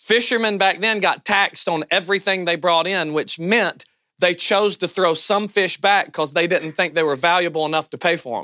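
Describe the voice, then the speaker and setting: A man speaks in a high voice with a Southern US accent, his tone bright and sharp. His pitch varies in an ordinary way, at a moderate pace with hardly any pauses. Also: very clean recording, silent background. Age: 30s. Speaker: pastor. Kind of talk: conference talk. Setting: stage with audience. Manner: animated.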